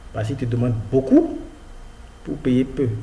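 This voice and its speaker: A man with an African accent speaks with audible room echo. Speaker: freelancing tutorial youtuber. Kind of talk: screen-share tutorial. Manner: casual, hesitant with fillers.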